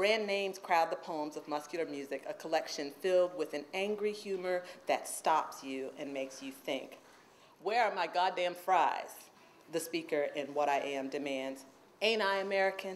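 Against light background noise, a woman with an unremarkable speaking voice talks at a moderate pace, her fairly low pitch showing ordinary variation. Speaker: introducer at a reading series, university poet/professor. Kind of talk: introduction at a poetry reading. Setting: stage with audience. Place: classroom. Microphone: podium.

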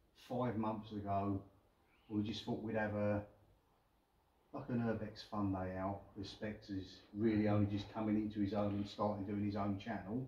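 A man speaks at a moderate pace in a fairly low, flat monotone. He leaves long, frequent pauses, and the room echo is audible. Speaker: urban explorer vlogger. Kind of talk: casual vlog chat. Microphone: camera far.

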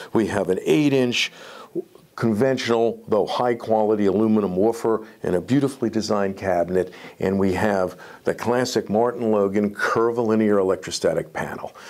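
This man talks at a moderate pace in a fairly low pitch, with a slightly mellow tone and ordinary pitch variation.

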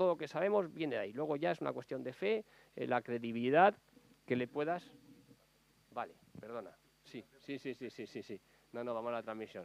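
Pausing long and often yet moving at a fairly quick pace, a man speaks with very wide pitch swings in a dry sound with no echo. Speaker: novelist. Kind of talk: book presentation talk. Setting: public library event. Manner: fast; halting. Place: hall. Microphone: lapel.

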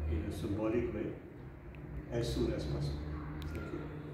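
A man talks at a fairly slow pace, his pitch swinging very widely. Strong room echo and noticeable background noise fill the recording. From Germany. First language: German. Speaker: author and scholar. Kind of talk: formal address. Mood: warm, celebratory. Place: office. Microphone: camera far.

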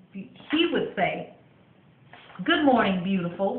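A woman goes at a fairly slow pace, and audible room echo follows her words. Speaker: vlogger reading her book. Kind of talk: reading aloud. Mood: warm, storytelling. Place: bathroom. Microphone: webcam.

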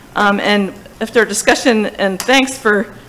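Noticeable background noise sits behind a woman talking at a fairly high pitch. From New Jersey. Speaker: town finance staff presenting budget. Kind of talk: public meeting budget presentation. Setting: town hall meeting. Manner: hesitant, many fillers. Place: hall. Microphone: podium.

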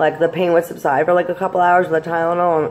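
Light background noise accompanies a woman speaking at a very deep, low pitch. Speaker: vlogger. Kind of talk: casual vlog chat, mukbang. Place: home room. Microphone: phone near.

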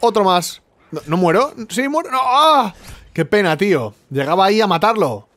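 A man's high voice with very wide pitch swings, at a fairly slow pace. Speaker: gaming youtuber. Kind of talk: live gameplay commentary. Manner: animated.

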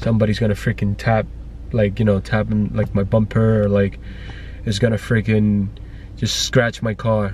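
Over light background noise, a man talks at a moderate pace in a dry sound with no echo. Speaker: family vlogger. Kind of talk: casual vlog chat. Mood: annoyed, venting. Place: car. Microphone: phone near.

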